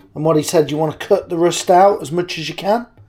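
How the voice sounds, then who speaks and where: A man's fairly high-pitched voice at a fairly quick pace, with ordinary pitch variation and music in the background. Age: 50s. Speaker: cabinetmaker. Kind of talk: casual talk to camera.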